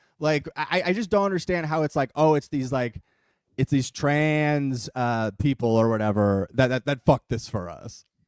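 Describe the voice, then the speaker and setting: At a moderate pace, a man with a fairly high pitch and a normal speaking voice uses lively intonation, recorded with a dry, close sound and no echo. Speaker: comedy politics podcast co-host. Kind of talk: casual chat. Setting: live stream.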